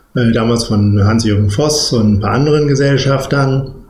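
Somewhat breathy, a man speaks with ordinary pitch variation amid audible room echo. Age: 40s. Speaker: managing director of a cattle genetics company. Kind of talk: interview.

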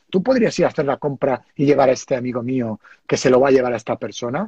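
A man's dark, mellow, somewhat breathy voice with lively intonation, dry and close with no echo. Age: 50s. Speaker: entrepreneur. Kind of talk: live video interview.

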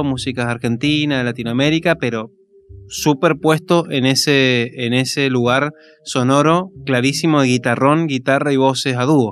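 A man speaks at a moderate pace in a fairly high pitch. It is an ordinary speaking voice. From Argentina, Mendoza (Maipú). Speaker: musician, singer-songwriter. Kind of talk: casual radio interview. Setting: radio studio, live.

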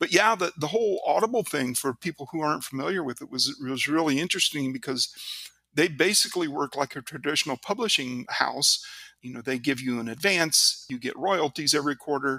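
Fairly high-pitched and bright, sharp in tone, a man speaks at a fairly quick pace with lively intonation. The sound is dry and close with no echo, on a very clean recording with a silent background. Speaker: author and aerospace engineer. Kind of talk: casual interview. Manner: hesitant, many fillers.

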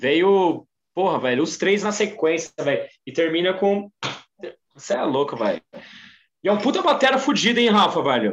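A man speaks at a moderate pace with a high pitch. His pitch swings very widely, broken by long, frequent pauses. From Brazil, São Paulo ABC region. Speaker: music podcast guest. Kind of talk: casual chat.

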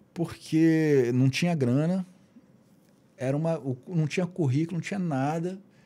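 There are long, frequent pauses as a man speaks at a fairly slow pace. His voice is fairly high in pitch, with a dark, mellow tone and ordinary pitch variation. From Rio de Janeiro, Brazil. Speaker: guitarist and musician. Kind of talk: casual interview chat. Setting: podcast studio.

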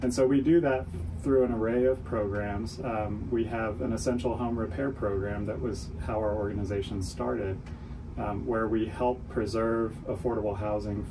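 A man speaks at a moderate pace with fairly low pitch and ordinary pitch variation. His is an unremarkable speaking voice. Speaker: nonprofit CEO. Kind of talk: radio interview.

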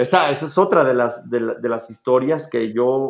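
The man speaks at a medium pitch. His pitch varies in an ordinary way. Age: 40s. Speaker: film director and motivational speaker. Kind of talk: casual interview. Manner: animated.

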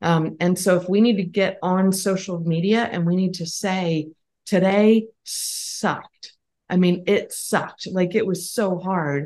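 A woman's unremarkable speaking voice with an American accent, fairly slow in pace with fairly even intonation. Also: medium pitch for a woman. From Pennsylvania. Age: 50s. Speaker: business co-founder. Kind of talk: interview.

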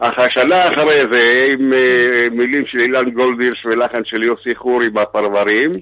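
The speech moves at a moderate pace with very even loudness and fairly even intonation. Noticeable background noise sits behind it. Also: man, medium pitch for a man. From Israel, kibbutz. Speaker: singer. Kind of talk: phone interview. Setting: phone call.

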